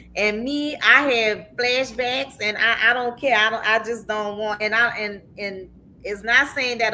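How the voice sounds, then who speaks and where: Speaking at a fairly slow pace with hardly any pauses, a woman uses a fairly high voice in an animated, passionate tone that sounds bright and sharp. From New Orleans, Louisiana, US South. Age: 50s. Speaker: talk show host. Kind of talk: casual chat. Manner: repeats words, halting starts.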